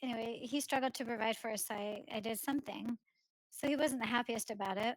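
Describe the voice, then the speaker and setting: A woman at a very fast pace with fairly even intonation. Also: fairly high pitch for a woman. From Portland. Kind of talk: interview.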